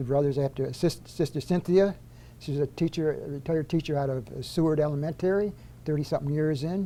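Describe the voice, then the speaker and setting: The speaker has an upstate New York accent and a dark, mellow tone. The pace is fairly quick and the intonation fairly even. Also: man, fairly high pitch for a man. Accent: upstate New York American. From US Northeast, upstate New York (Auburn). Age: 70s. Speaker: retired corrections official. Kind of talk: casual interview.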